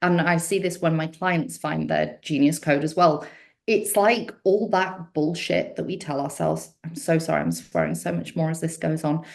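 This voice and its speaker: A woman's fairly low voice with vocal fry and ordinary pitch variation. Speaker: business coach and mentor. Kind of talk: podcast interview. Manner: fast; animated.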